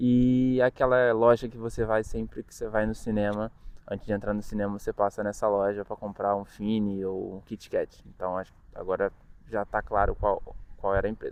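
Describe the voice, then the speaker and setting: At a moderate pace, a man with a fairly low voice speaks in a monotone, flat intonation while his loudness swings widely. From Brazil, Rio de Janeiro. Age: 20s. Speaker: student vlogger. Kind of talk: casual vlog monologue.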